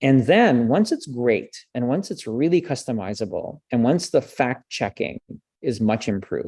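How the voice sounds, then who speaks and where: Over a quiet background, a man speaks at a fairly slow pace in a dark, mellow tone. His medium-pitched voice makes very wide pitch swings. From French Canada. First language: French. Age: 40s. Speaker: communications professor. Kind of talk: interview.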